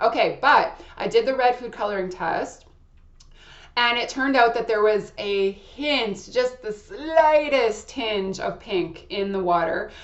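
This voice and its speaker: A fairly slow delivery against noticeable background noise. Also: woman, fairly high pitch for a woman, ordinary pitch variation. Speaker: astrology channel creator giving personal product review. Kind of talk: casual personal review monologue. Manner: loud; hesitant, with fillers and restarts.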